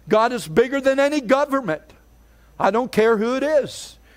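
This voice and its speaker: The speaker talks at a moderate pace in an American accent, with ordinary pitch variation. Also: man. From Pennsylvania, US. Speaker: pastor. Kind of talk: fiery Pentecostal revival sermon, declaring God's unchanging power. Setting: church service with congregation. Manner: rousing, emphatic, repetitive preaching cadence; stammers on restarts when fired up. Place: church.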